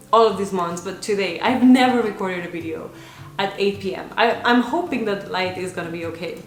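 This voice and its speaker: Amid audible room echo and background music, a woman talks at a fairly quick pace and medium pitch, with ordinary pitch variation and big swings in loudness. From Spain, Barcelona area (Catalonia). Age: 20s. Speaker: vlogger. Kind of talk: casual vlog talk.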